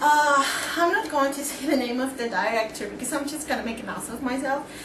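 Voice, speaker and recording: Speaking at a fairly quick pace with a Spanish accent, a woman uses a high pitch and ordinary pitch variation, with audible room echo and noticeable background noise. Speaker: vlogger. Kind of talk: movie review vlog. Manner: casual, hesitant with many fillers.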